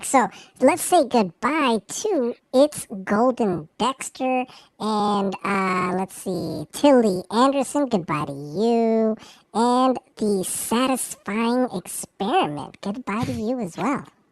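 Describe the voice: A squeaky put-on character voice, female-sounding and fairly high-pitched for a woman, at a very slow pace.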